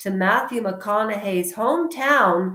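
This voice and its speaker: A loud woman's voice, fairly high in pitch, with lively intonation at a very slow pace. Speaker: YouTube commentator. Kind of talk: casual monologue vlog. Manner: animated.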